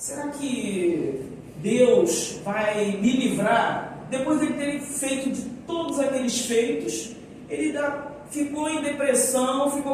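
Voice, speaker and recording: With lively intonation and a high pitch, a woman speaks amid noticeable background noise and audible room echo. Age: 60s. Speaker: homiletics student. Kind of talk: sermon practice presentation. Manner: halting.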